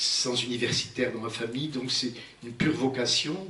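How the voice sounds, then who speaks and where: Amid noticeable background noise and audible room echo, a man speaks at medium pitch. His intonation is fairly even and his pace moderate. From Algeria. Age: 70s. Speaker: physician and prehistory researcher, lecturer. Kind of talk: public lecture. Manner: halting, with frequent hesitations.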